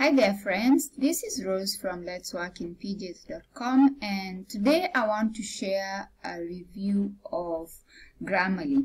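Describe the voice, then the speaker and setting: A woman speaks very slowly at a medium pitch, her voice somewhat breathy. Her intonation is lively. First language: not English; English is her third language. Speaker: blogger. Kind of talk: product review vlog. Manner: casual, many fillers (um, uh).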